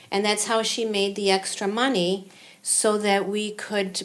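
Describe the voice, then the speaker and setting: An unremarkable speaking voice from a woman with an American accent, at a fairly slow pace. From US, arrived from Cuba at age five. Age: 60s. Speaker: local entrepreneur, market founder. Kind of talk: podcast interview.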